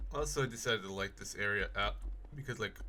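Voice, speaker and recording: Bright and sharp in tone with vocal fry, a man's voice moves at a fairly quick pace with ordinary pitch variation. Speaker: gaming video creator. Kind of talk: gameplay commentary. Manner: casual, many filler words; halting.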